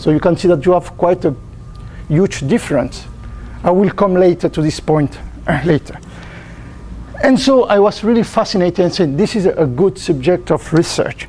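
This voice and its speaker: A man's high voice in a strong French accent, at a moderate pace and very even loudness, with long, frequent pauses amid noticeable background noise. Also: ordinary pitch variation. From France. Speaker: botanist researcher. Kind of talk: lecture. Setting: conference talk with audience. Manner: halting; quiet. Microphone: no mic for room, only camera mic.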